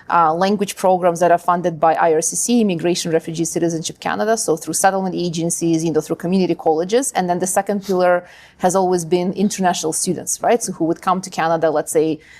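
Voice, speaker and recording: A woman with a Ukrainian accent, fairly low-pitched, very fast, with fairly even intonation and hardly any pauses. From Ukraine. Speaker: linguist and language school founder. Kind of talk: interview.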